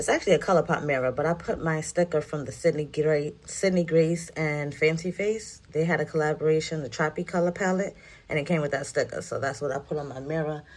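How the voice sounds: With a New York accent, a woman speaks at a fairly quick pace in a low pitch, her tone slightly mellow and her pitch variation ordinary.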